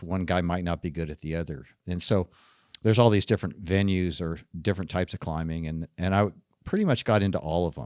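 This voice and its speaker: In a very clean recording with a silent background, a man with a very deep, low pitch speaks with fairly even intonation in a dry, close sound with no echo. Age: 60s. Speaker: rock climber. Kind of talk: interview.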